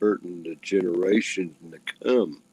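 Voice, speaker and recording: This man's voice carries a dark, mellow tone. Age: 60s. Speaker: livestream participant. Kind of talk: casual chat. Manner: halting.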